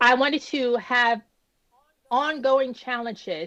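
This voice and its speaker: Speaking very slowly, a woman draws out her words. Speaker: stroke survivor. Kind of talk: interview. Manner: halting, speech still recovering; frequent hesitations and restarts.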